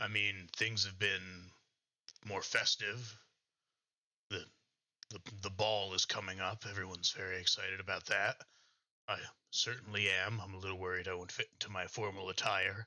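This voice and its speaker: A man uses a put-on character voice, raspy and fairly low, with monotone, flat intonation and long, frequent pauses. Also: moderate pace. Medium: actual play. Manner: hesitant, halting.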